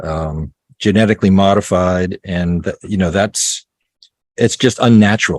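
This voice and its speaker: A man with a normal speaking voice talks at a fairly slow pace and fairly low pitch, his intonation fairly even, in a dry, close sound with no echo. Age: 60s. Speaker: off-grid homesteader and author. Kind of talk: interview.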